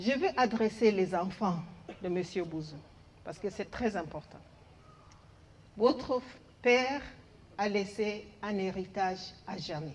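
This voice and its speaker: With an English accent, a woman speaks at a very slow pace in a medium, somewhat breathy voice, her loudness swinging widely between long, frequent pauses. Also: ordinary pitch variation. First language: English (speaking French). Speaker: head of a development agency office. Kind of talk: farewell tribute speech.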